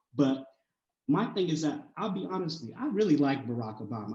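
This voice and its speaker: Speaking at a very fast pace, a man uses lively intonation at a fairly high pitch. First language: not English. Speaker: college student. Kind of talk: panel discussion.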